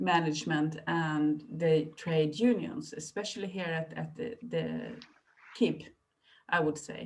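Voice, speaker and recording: A woman with a Swedish accent speaks very slowly in a very deep, low voice, with vocal fry, lively intonation and big swings in loudness. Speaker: librarian. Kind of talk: presentation. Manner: halting.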